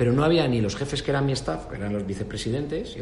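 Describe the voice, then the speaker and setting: There is noticeable background noise and audible room echo. A man talks at a medium pitch with lively intonation. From Spain, Extremadura. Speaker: business executive. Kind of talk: interview.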